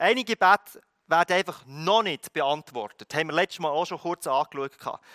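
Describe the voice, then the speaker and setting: A man speaks at a moderate pace with lively intonation and a high pitch. His tone is bright and sharp, and the sound is dry and close with no echo. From Philippines, moved to Switzerland at 16. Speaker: pastor. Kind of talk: sermon.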